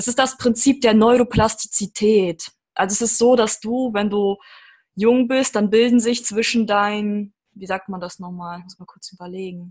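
A woman's somewhat breathy voice at a medium pitch, with fairly even intonation and a moderate pace. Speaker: podcast host. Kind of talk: podcast interview. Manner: talkative.

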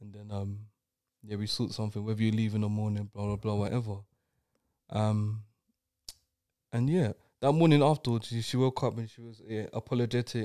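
In a London accent, a man speaks at a fairly quick pace with long, frequent pauses and fairly even intonation. His dark, mellow voice is fairly low in pitch, with big swings in loudness. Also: very clean recording, silent background. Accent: London English (Multicultural London English). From East London, England. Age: 20s. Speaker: podcast guest sharing personal story. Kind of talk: casual chat, personal testimony.

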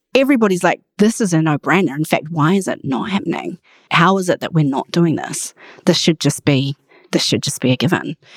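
A woman with a New Zealand accent speaks fairly quickly in a fairly low voice. Her intonation is lively, and the sound is dry and close with no echo. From Australia (outback), then New Zealand from age 11. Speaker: charity chief executive. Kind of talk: interview.

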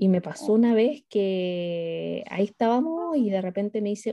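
This woman has a dark, mellow tone at a medium pitch. Her intonation is lively. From Chile. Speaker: podcast co-host. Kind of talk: casual chat.

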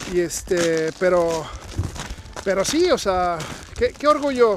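Noticeable noise sits behind a man whose pitch rises and falls in an ordinary way. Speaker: podcast host. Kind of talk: casual interview. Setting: outdoors, walking in snow. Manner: loud.

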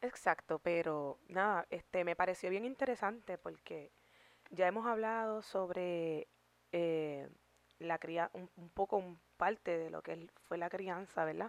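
Over a quiet background with a dry, close sound and no echo, a woman speaks in a normal speaking voice at a fairly low pitch and fairly slow pace, with ordinary pitch variation and big swings in loudness. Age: 30s. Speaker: YouTube podcast co-host. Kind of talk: casual chat.

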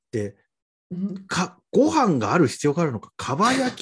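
Fairly high-pitched and somewhat breathy, this man's voice moves through very wide pitch swings. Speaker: podcast guest. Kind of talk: casual chat.

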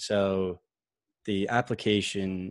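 A man with an American accent speaks at a fairly low pitch, his intonation flat and monotone. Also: very clean recording, silent background. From Massachusetts. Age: 20s. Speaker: author and crypto venture worker. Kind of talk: casual interview.

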